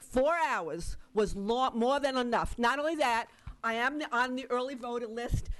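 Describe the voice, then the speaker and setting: A woman talks at a high pitch with ordinary variation. Her pace is fairly slow. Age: 70s. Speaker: citizen giving public testimony. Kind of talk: public hearing testimony. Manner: urgent, insistent.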